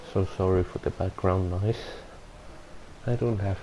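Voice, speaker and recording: In a non-native accent, a man speaks at a fairly low pitch with a monotone, flat intonation. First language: not English. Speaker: gaming video reviewer. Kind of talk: game review voiceover. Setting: home recording without soundproofing. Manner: halting, self-correcting.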